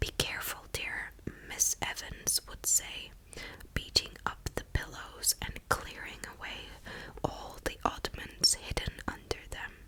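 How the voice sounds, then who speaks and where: Whispering at a very slow pace, with big swings in loudness and noticeable background noise. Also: woman. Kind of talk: reading aloud from a book's back cover. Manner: whispered, soft-spoken.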